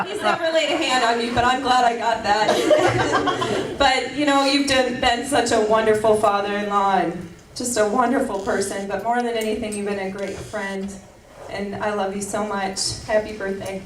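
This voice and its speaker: A woman's fairly high voice carries ordinary pitch variation at a moderate pace. Audible room echo and noticeable background noise surround her. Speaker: family member at party. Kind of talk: birthday party speech.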